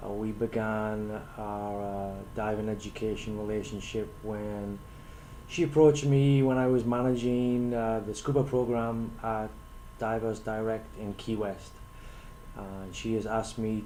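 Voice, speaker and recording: With a non-native accent, a man talks fairly slowly in a fairly low pitch, and room echo can be heard. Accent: foreign. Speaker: scuba instructor trainer. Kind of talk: prepared talk to camera. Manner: hesitant, many fillers.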